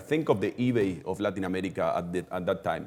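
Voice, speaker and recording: The delivery comes at a fairly quick pace with a Spanish accent. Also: man. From Argentina. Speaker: e-commerce executive. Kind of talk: webinar interview. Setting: live webinar. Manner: halting.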